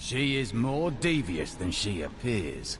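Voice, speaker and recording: Over loud background noise, a man puts on a character voice at a medium pitch, sounding confident and speaking at a fairly slow pace. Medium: video game. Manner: terse, confident.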